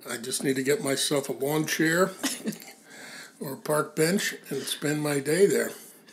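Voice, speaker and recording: Amid noticeable background noise, a man speaks fairly high and fairly slowly, with ordinary pitch variation and long, frequent pauses. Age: 60s. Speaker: founding editor of a mindfulness magazine. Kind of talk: casual conversation interview. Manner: halting, many fillers.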